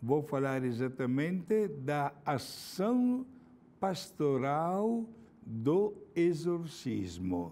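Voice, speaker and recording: Speaking very slowly with an Italian accent, a man has a dark, mellow tone, a fairly high pitch and very wide pitch swings. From Italy, Milan. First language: Italian (speaking Portuguese). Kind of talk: religious talk.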